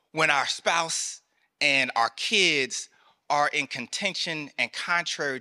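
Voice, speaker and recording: Speaking at a very slow pace, a man talks with a Southern US accent. The recording is very clean with a silent background and a dry, close sound with no echo. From US South, rural North Carolina. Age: 30s. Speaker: military chaplain. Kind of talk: sermon. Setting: church. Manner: animated.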